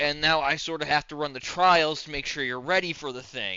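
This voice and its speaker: Putting on a character voice, a man speaks at a fairly quick pace and a fairly high pitch. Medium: actual play. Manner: casual, chummy.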